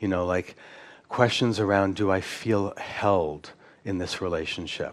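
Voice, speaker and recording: Speaking at a fairly slow pace, a man uses fairly even intonation and a fairly low pitch. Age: 60s. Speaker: psychologist lecturing at a conference. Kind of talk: conference lecture with audience Q&A. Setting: conference stage with audience. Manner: hesitant, many repeated words and fillers.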